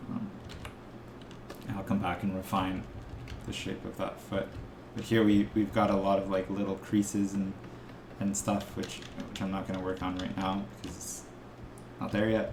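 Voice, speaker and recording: Mumbling male voice, monotone and flat, with long, frequent pauses, audible room echo and noticeable background noise. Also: fairly low pitch for a man, moderate pace. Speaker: art instructor. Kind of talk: tutorial. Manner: halting.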